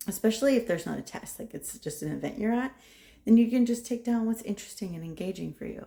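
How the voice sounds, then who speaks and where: A woman talks very fast at a fairly high pitch, her dark, mellow tone somewhat breathy, with ordinary pitch variation and big swings in loudness. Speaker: nursing professor. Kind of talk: tutorial. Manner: casual.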